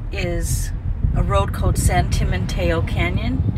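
Very slow speech over loud background noise, in a dry sound with no echo. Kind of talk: casual vlog chat. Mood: relaxed, pleasant. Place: car. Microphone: phone near.

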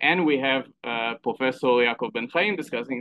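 A man with an Israeli accent. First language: Hebrew. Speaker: event host and moderator. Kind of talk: event moderation. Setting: live event with audience. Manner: halting, many fillers.

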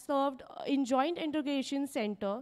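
Against a quiet background, a woman talks at a moderate pace with a high pitch. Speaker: university official introducing guest. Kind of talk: formal introduction speech. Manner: formal. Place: stage. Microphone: handheld.

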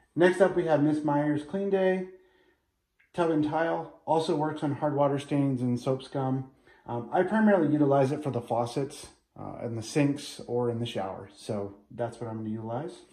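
A man's dark, mellow tone, lively intonation and audible room echo. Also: moderate pace. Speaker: home cleaning vlogger. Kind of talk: casual vlog chat. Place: bathroom. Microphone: phone near.

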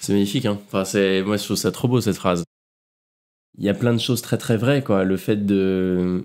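A man speaks with fairly low pitch and fairly even intonation. He leaves long, frequent pauses. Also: moderate pace, very even loudness. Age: 20s. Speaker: polar adventurer. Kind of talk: interview, casual. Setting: at home. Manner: hesitant, many fillers.

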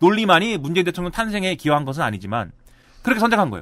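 A man's high voice with very wide pitch swings

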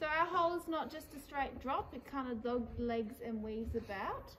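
Light background noise accompanies a woman's voice. She talks at a moderate pace with ordinary pitch variation. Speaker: cave tour guide. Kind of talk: guided tour commentary. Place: tunnel cave. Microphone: camera far.

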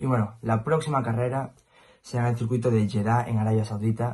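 With a slightly husky edge and a slightly mellow tone, a man speaks at medium pitch with fairly even intonation. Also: fairly quick pace.

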